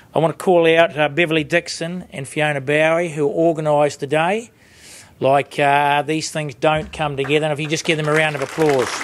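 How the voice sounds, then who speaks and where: Speech in a New Zealand accent moves at a fairly quick pace with fairly even intonation. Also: man, fairly high pitch for a man. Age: 50s. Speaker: sheep farmer and industry board chair. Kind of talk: panel discussion. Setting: conference stage with audience.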